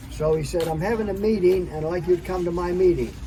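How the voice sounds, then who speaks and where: Amid noticeable background noise and audible room echo, a man is speaking. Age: 80s+. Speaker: product consultant sharing health story. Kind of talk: interview testimony.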